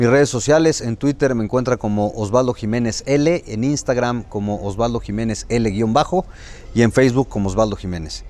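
Speaking at a moderate pace, a man at medium pitch has an unremarkable speaking voice with ordinary pitch variation. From Mexico, Puebla. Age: 40s. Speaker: state legislator. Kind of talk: interview.

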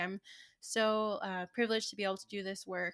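A woman with an ordinary speaking voice, fairly high in pitch, at a moderate pace and with fairly even intonation. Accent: American. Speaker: podcast co-host, museum curator. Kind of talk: casual chat.

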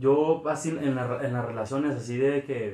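This man has an unremarkable speaking voice, pitched fairly high for a man. He speaks at a fairly slow pace. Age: 20s. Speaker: podcast co-host. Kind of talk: casual chat.

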